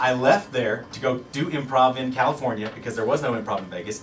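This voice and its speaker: A man with a Kentucky accent talks at a very fast pace. Background noise is noticeable. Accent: Kentucky accent, stronger than usual. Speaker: improv comedian and web show host. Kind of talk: casual chat.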